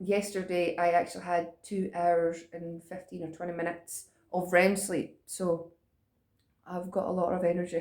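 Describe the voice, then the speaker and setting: A woman in a Scottish accent, fairly low-pitched and monotone with flat intonation, her loudness swinging widely. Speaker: vlogger. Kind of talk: casual chat. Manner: fast.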